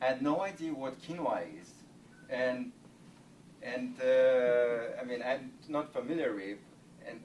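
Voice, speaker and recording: A man at a moderate pace, with long, frequent pauses, big swings in loudness and noticeable background noise. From Russia. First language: Russian. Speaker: startup founder. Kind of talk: sales pitch. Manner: halting.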